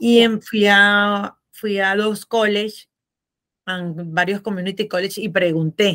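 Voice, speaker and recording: Speaking very slowly, a woman uses a medium pitch and a bright, sharp tone with fairly even intonation. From Venezuela. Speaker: accountant and tax consultant. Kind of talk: podcast interview.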